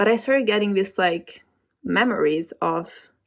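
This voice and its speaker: This woman has a non-native accent and a fairly high pitch. Her pitch varies in an ordinary way. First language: not English. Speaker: vlogger. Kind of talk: casual chat. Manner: halting.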